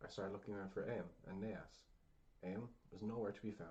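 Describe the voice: The text is read aloud plainly. Its intonation stays fairly even.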